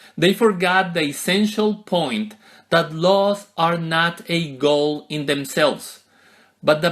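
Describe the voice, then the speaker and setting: The speech is very slow, with lively intonation. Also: man. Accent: American. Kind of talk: sermon.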